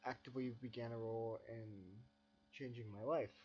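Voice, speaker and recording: A man speaks quietly at a moderate pace. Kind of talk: personal reflective narration.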